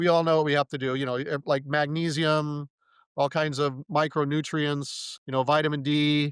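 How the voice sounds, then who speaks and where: Over a very clean recording with a silent background, the voice has a dry, close sound with no echo, a moderate pace and monotone, flat intonation. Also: man, fairly high pitch for a man. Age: 60s. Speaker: supplement company founder / C60 advocate. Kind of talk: podcast interview. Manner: halting, many restarts.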